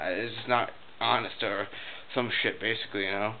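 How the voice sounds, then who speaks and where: A man talks with fairly even intonation. Noticeable background noise runs under his voice. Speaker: vlogger. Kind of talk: casual rant to camera. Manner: rambling with many fillers, halting.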